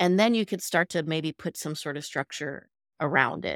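A normal speaking voice at a moderate pace, ordinary pitch variation, and a dry, close sound with no echo. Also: woman. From US Midwest (born in Los Angeles). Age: 40s. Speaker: social work professor and DEI educator. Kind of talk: casual interview conversation.

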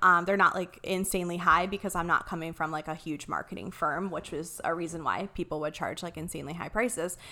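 Speaking at a very fast pace, a woman has a bright, sharp tone and an American accent. Her voice sits fairly low with fairly even intonation. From Ohio, small town. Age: 30s. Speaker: graphic designer and marketing business owner. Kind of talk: casual interview.

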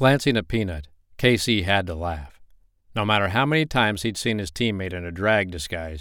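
The intonation here is lively. It comes in an unforced reading voice.

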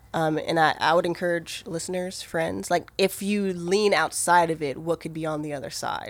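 With an American accent, a woman speaks at a moderate pace in a fairly low pitch and fairly even intonation, with noticeable background noise behind her. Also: hardly any pauses. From Maryland, US. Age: 30s. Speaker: ministry worker. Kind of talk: casual interview.

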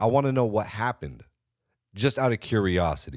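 An animated voice with an American accent, vocal fry, and very wide pitch swings in a very clean recording with a silent background. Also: man. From California. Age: 30s. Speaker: podcast host. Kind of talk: solo commentary.

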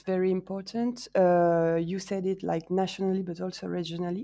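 In a French accent, a woman of medium pitch speaks at a fairly slow pace with a dark, mellow tone. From France, Marseille. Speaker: science festival coordinator. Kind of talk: interview. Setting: online call. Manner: hesitant, many fillers.

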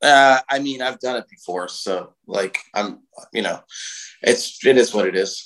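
The speaker talks at a fairly slow pace with an American accent and ordinary pitch variation. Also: man. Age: 40s. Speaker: heavy metal singer, bassist and festival promoter. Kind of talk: interview conversation.

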